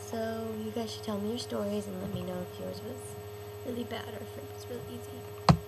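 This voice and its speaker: A woman speaks with ordinary pitch variation against loud background noise. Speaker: vlogger. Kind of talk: casual vlog chat. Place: home room. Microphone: webcam.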